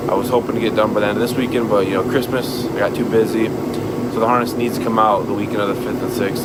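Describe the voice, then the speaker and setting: Over noticeable background noise and audible room echo, a medium-pitched man speaks very fast in a flat monotone. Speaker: car vlogger. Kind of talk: casual vlog talk to camera. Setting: home garage. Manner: halting, repeats words.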